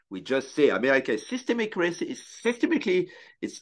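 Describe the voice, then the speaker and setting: A man with a French accent speaks at a moderate pace, his pitch swinging very widely. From France. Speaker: sports photographer. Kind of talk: casual interview conversation. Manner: talkative.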